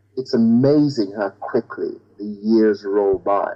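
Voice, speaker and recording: The tone is dark and mellow, with ordinary pitch variation. The recording sounds dry and close, with no echo. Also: man. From Jamaica, rural countryside. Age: 60s. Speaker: bishop and broadcaster. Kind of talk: interview.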